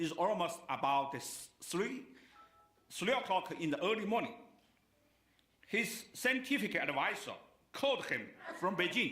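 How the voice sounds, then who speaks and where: Amid audible room echo and noticeable background noise, a raised, projected voice in a Chinese accent makes very wide pitch swings, with long, frequent pauses. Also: man, high pitch for a man, fairly slow pace. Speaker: keynote speaker. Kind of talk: speech. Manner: halting.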